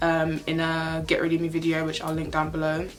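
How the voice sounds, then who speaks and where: A woman with a fairly low pitch talks while music plays in the background. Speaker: beauty and lifestyle youtuber. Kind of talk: casual vlog try-on haul. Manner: fast.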